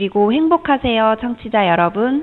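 The voice belongs to a woman with a fairly high pitch. Her intonation is lively. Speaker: social worker. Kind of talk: scripted announcements. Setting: studio. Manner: softer, more relaxed than before.

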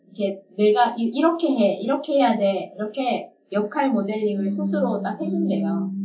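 Fairly high-pitched, this woman talks at a fairly slow pace with lively intonation. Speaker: communication and leadership trainer, podcast co-host. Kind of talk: casual chat.

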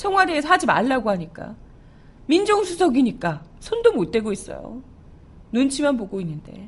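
A woman speaks loud and animated at a moderate pace, her high pitch swinging very widely over noticeable background noise. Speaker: radio news show host and announcer. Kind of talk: news commentary. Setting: studio.

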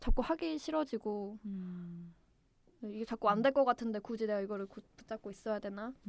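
A woman talks at a moderate pace with a fairly high pitch and ordinary pitch variation. Her loudness swings widely. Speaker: newly hired civil servant. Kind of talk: interview. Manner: hesitant, many fillers.

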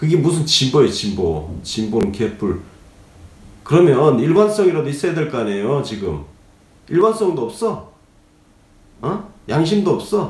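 A man's fairly high voice shows vocal fry and very wide pitch swings. He speaks at a fairly slow pace with long, frequent pauses. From Gyeongsang region, South Korea. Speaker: political commentator, former journalist. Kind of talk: political commentary briefing. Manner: conversational, opinionated, fillers.

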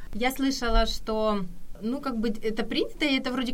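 A woman talks at a fairly quick pace with ordinary pitch variation. Noticeable background noise and audible room echo fill the recording. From Kyiv, Ukraine. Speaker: Korean language helper living in Korea. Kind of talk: casual radio interview.

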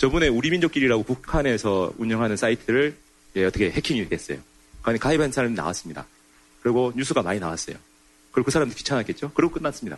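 Speaking very fast, a man uses lively intonation at a medium pitch. He has a slight North Korean accent. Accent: slightly North Korean-sounding speech. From South Korea. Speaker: North Korea science historian. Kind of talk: lecture.

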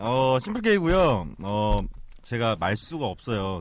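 The speaker is a man. His intonation is lively. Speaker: podcast guest. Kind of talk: casual chat.

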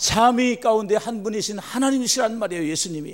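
A man with lively intonation. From Korea, Chungcheong Province. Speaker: pastor. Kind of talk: sermon.

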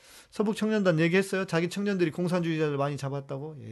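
This is a man with a plain, everyday voice. His pitch is fairly high, with ordinary variation. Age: 50s. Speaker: pastor hosting a Q&A livestream. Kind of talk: live Q&A stream reading viewer questions.

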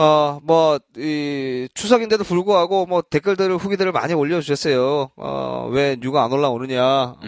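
A man with a fairly high pitch and a normal speaking voice talks at a fairly slow pace with hardly any pauses. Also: ordinary pitch variation, dry, close sound with no echo. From Busan, South Korea. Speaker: baseball podcast host. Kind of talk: casual chat.

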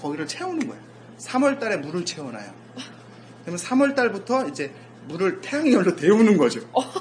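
A high-pitched man at a fairly quick pace, with very wide pitch swings, big swings in loudness, long, frequent pauses, and noticeable background noise. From South Korea, rural area. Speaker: sports scientist and lecturer. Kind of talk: casual interview.

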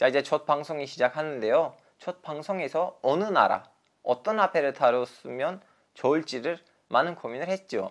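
A man at a fairly high pitch, with ordinary pitch variation and a moderate pace. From Turkey. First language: Turkish (speaking Korean). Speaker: journalist and podcast host. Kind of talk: solo educational podcast.

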